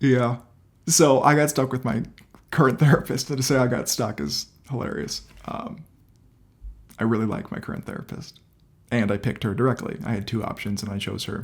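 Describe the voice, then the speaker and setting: Despite long, frequent pauses, a man keeps a fairly quick pace at a medium pitch, with vocal fry. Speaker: video creator sharing mental health journey. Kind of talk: personal vlog testimony. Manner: energetic; casual with filler words.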